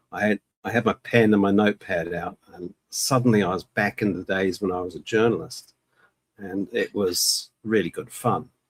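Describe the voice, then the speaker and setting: A man with an unremarkable speaking voice talks at a moderate pace. His pitch is fairly low. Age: 60s. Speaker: author and magician. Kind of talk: casual interview.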